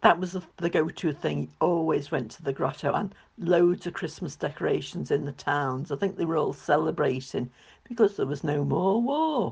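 A woman's very deep, low voice, somewhat breathy, at a moderate pace, with ordinary pitch variation and big swings in loudness. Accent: Liverpool. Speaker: host's mother. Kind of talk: recorded contribution, reminiscence.

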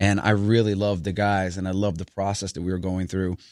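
Recorded very cleanly with a silent background, a man with an unremarkable speaking voice speaks at a fairly low pitch with fairly even intonation. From New York City, the Bronx. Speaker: singer and actor. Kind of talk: casual chat.

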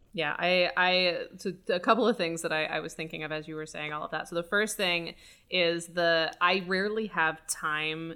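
A woman talks with a fairly low pitch. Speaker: podcast co-host, writer and director. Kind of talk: casual podcast conversation about filmmaking. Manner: fast talker, by her own admission.

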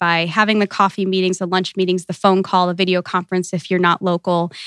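A woman with a Midwestern American accent speaks at medium pitch, with a dry, close sound with no echo on a very clean recording with a silent background. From US Midwest, small-town Ohio. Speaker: networking and professional development coach. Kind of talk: interview.

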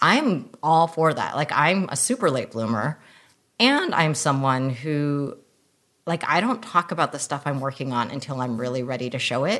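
A woman speaks at a moderate pace with lively intonation and a very deep, low pitch, on a very clean recording with a silent background. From US. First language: non-English language. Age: 40s. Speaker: filmmaker. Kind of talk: casual interview chat.

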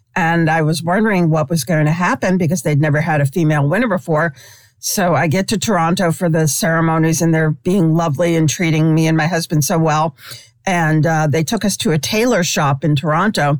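This woman has an ordinary speaking voice with a fairly low pitch and an American accent. She speaks at a fairly quick pace, with ordinary pitch variation and very even loudness. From New York City, Brooklyn. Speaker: sports columnist. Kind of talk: interview.

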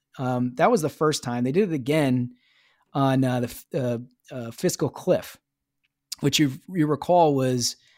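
The recording is very clean, with a silent background. A man with a normal speaking voice talks at a medium pitch and moderate pace, using ordinary pitch variation. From US Midwest, Minnesota. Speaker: political strategist, former Senate chief of staff. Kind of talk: interview.

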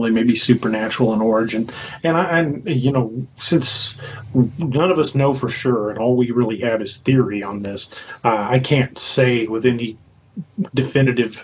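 Using a plain, everyday voice, a man with an American accent speaks at a moderate pace and medium pitch with ordinary pitch variation. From Missouri. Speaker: author and paranormal investigator. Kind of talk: casual chat.

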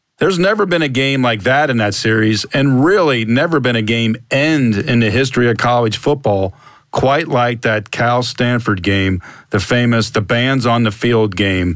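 A man speaks in an ordinary speaking voice at a moderate pace. His loudness stays very even and his pitch varies in an ordinary way. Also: medium pitch for a man. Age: 50s. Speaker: podcast host, former sports writer. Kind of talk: casual interview.

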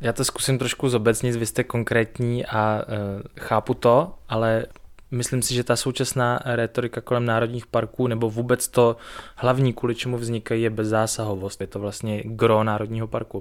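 The man's pitch is medium and his pace moderate. He delivers everything in a monotone, flat intonation. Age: 30s. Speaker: podcast host. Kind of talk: interview. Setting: guest's home.

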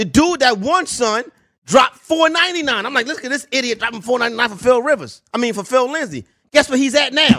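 This man's voice is extremely high-pitched, with a bright, sharp tone. He speaks at a moderate pace in a raised, projected voice with ordinary pitch variation. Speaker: fantasy football radio host. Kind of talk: radio show intro and banter with listeners. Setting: studio. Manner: high-energy, hyped.

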